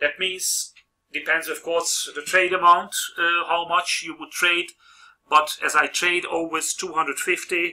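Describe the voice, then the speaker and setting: A fairly slow, monotone, flat delivery with a non-native accent and big swings in loudness. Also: man, high pitch for a man. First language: not English. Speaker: trading video host. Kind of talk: tutorial. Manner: halting.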